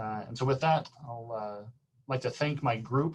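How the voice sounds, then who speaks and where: The man's voice is somewhat breathy, at a medium pitch. His intonation stays fairly even. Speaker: physics professor. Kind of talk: lecture. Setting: video call. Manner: fast.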